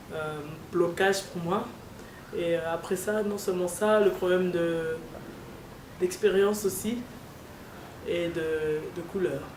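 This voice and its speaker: A woman speaks very slowly at a medium pitch with fairly even intonation and long, frequent pauses, against audible room echo and noticeable background noise. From DR Congo. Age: 30s. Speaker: seamstress. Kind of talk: interview testimony. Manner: halting.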